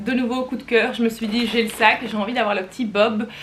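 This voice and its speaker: A woman with a Flemish accent speaks at a fairly high pitch and a moderate pace. Her intonation is fairly even, and there is noticeable background noise. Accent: Belgian Flemish. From Belgium, Flemish. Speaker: fashion YouTuber. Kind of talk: casual haul video talk. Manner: chatty, hesitant with many fillers.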